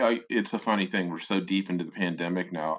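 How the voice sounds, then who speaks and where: Pitch varies in an ordinary way. The voice carries an American accent. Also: man. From Chicago. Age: 60s. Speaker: music critic. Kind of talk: interview.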